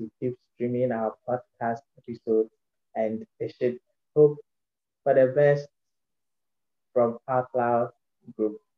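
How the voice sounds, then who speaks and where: A man speaks at a fairly slow pace with a medium pitch, a monotone, flat intonation and long, frequent pauses. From Ghana. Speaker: podcast ambassador. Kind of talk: interview. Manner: halting.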